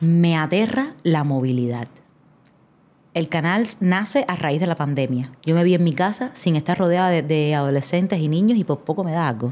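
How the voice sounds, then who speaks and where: A woman speaks at a moderate pace with a fairly low pitch, a dark, mellow tone and lively intonation. The recording is very clean with a silent background. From Cuba, Havana. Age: 30s. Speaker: actress and theatre creator. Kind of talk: casual interview chat.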